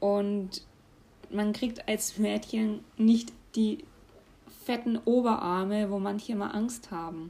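With a Franconian accent, a woman speaks very slowly in a fairly high, somewhat breathy voice, keeping her intonation fairly even and leaving long, frequent pauses. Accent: German regional dialect, Franconian. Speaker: podcast host. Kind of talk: casual solo monologue.

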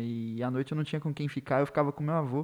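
The background is quiet as a man talks in a normal speaking voice. His pitch sits fairly high, with ordinary pitch variation. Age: 20s. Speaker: literature teacher. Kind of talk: casual chat.

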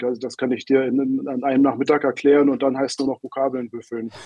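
A man at a medium pitch speaks at a fairly quick pace. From Germany, Berlin. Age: 50s. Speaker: newspaper editor. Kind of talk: interview.

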